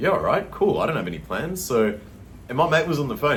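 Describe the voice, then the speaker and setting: The speaker has an Australian accent, a very fast pace and very wide pitch swings. Audible room echo and noticeable background noise are present. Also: man. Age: 30s. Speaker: vlogger. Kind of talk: casual storytelling monologue. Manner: casual, filler-heavy.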